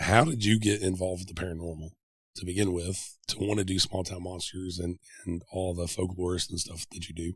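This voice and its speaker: The speaker has an American accent and a somewhat breathy voice, moving at a fairly quick pace. Intonation stays monotone and flat, while loudness swings widely. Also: man, very deep, low pitch for a man, very clean recording, silent background. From Middle Tennessee. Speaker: podcast host. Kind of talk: interview.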